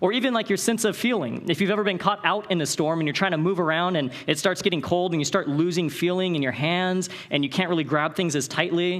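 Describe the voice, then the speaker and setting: An animated man with an American accent, high-pitched, at a very fast pace with hardly any pauses and ordinary pitch variation. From Northern California. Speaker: Bible college director and conference speaker. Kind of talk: conference talk.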